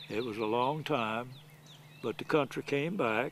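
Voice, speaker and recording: A man with a Southern US accent at a moderate pace. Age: 80s+. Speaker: elderly golfer. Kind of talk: storytelling. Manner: halting.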